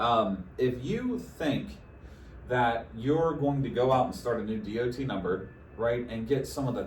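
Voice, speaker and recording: Delivered at a fairly slow pace with ordinary pitch variation, the speech carries audible room echo. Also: man. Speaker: insurance sales rep. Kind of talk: casual advice chat. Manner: stumbling, repeats words.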